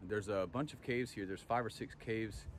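Noticeable background noise sits under a man's fairly low voice. The sound itself is dry, with no echo. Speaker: travel host. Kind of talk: casual vlog chat. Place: open country. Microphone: phone near.

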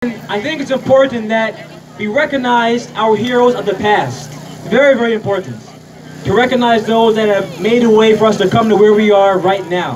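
A man's high-pitched voice at a moderate pace, with ordinary pitch variation over noticeable background noise. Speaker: presenter. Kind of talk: ceremony speech. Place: open country. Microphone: handheld.

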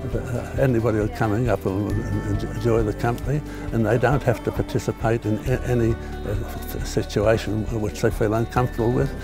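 Clear music plays in the background. A man speaks at a moderate pace in a dry sound with no echo. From Sydney, Australia. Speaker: war veteran; environmental protester. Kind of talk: interview answer. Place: open country. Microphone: lapel.

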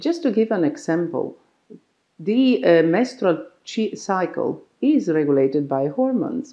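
A woman speaks at a fairly slow pace with an Italian accent. Her pitch swings very widely, and the background is quiet. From Italy. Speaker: doctor. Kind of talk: explainer talk to camera. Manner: halting. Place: office. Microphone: lapel.

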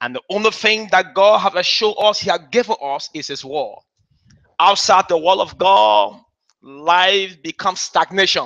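Against a quiet background, a man speaks with a high pitch and a bright, sharp tone. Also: ordinary pitch variation, moderate pace. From Liberia. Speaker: bishop. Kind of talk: sermon. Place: church.

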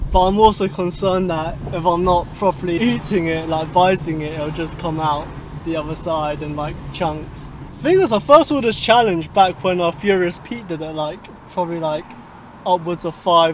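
A man speaks in a high voice at a moderate pace, with ordinary pitch variation and big swings in loudness. The sound is dry with no echo, over light background noise. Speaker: fitness vlogger. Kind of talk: casual vlog chat. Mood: relaxed, laughing. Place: car. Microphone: camera far.

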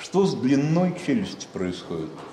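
Over light background noise and audible room echo, a man speaks at a moderate pace with very wide pitch swings. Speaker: lecturer. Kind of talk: lecture. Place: classroom. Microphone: camera far.

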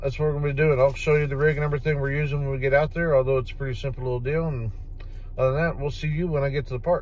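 Dry and free of echo, a man's voice runs at a very fast pace in a flat, monotone delivery. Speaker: fishing vlogger. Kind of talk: casual vlog chat. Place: car. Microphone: phone near.

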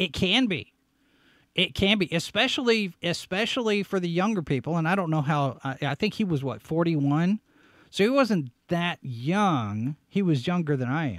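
This man talks at a moderate pace in a high voice, animated and full of very wide pitch swings. The sound is dry with no echo, and the background is quiet. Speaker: show host and website editor; show host. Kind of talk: live-stream commentary show. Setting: studio live broadcast. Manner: animated, on-air energy. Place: home room. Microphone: studio mic.

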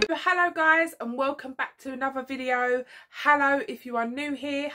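A woman speaks in a raised, projected voice with a bright, sharp tone. Her pace is moderate, her pitch varies in an ordinary way, and the background is quiet. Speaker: vlogger. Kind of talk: casual vlog chat. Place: home room.

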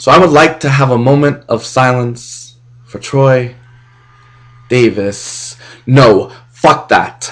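The speaker is a man. His intonation is fairly even. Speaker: spoken word poet. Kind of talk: spoken word poetry performance. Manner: impassioned. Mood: angry, impassioned. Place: home room. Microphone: webcam.

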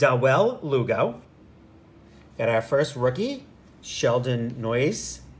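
A man's somewhat breathy voice. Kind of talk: casual vlog chat. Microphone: phone near.

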